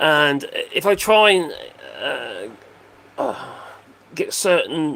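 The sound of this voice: His voice is fairly high for a man, with a fairly bright tone and a slightly husky edge.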